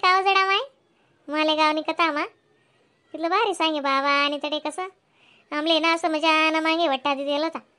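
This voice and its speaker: A woman uses a cartoonish character voice at an extremely high pitch. She speaks at a moderate pace. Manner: chatty, animated.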